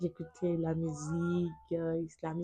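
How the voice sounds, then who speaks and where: A woman speaks in a fairly low pitch with a dark, mellow tone. Her voice is somewhat breathy. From Benin. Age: 20s. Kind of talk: testimony.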